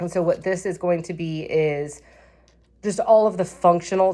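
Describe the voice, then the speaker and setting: This woman has an unremarkable speaking voice, fairly low in pitch, keeping a moderate pace and fairly even intonation. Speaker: planner vlogger. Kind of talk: casual tutorial-style flip-through vlog.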